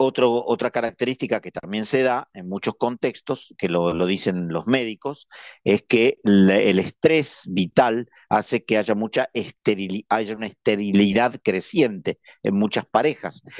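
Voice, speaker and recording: A man speaks at a fairly low pitch with ordinary pitch variation. The sound is dry and close with no echo, over a quiet background. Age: 60s. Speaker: religious brother giving a talk. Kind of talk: lecture. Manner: halting.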